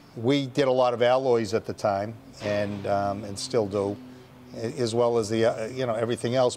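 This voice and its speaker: With music in the background, a man talks at a moderate pace with fairly even intonation. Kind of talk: interview answer. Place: factory. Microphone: lapel.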